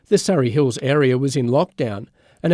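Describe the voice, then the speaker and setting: Over a silent background in a very clean recording, a man talks at a very fast pace with a dark, mellow tone. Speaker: radio news reader. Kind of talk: radio news bulletin.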